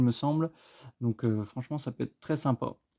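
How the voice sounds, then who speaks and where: A man's dark, mellow tone with fairly even intonation, dry and close with no echo. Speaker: YouTuber opening trading card orders. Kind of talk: casual unboxing commentary. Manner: halting, searching for words.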